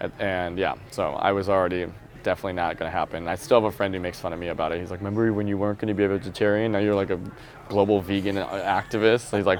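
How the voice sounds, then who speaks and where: With an American accent, a man speaks at a very fast pace in a very deep, low pitch. His intonation is fairly even. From rural Wisconsin, US Midwest. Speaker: vegan nonprofit marketing director. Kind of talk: interview conversation. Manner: casual, filler-heavy.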